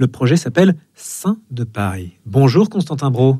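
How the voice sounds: A man's medium-pitched voice, dark and mellow in tone with a slightly husky edge, big pitch swings and a moderate pace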